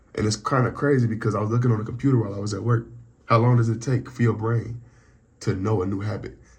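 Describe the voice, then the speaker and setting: A man's medium-pitched voice with vocal fry. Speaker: vlogger. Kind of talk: personal vlog update. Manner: halting.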